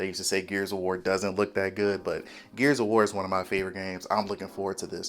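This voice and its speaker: Music in the background behind a man talking at a fairly quick pace. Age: 30s. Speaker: gaming YouTuber. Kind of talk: casual commentary vlog. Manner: quiet, subdued volume.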